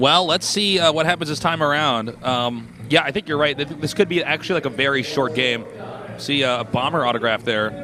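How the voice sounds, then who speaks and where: With noticeable background noise, a man talks at a fairly quick pace, his fairly high pitch showing ordinary variation. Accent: American. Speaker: esports commentator. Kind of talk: live commentary. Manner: animated.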